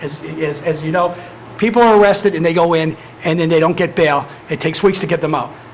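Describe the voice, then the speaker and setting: A man at a very fast pace and high pitch, with fairly even intonation and noticeable background noise. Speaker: probation department head. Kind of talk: public meeting presentation. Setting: county commissioners meeting.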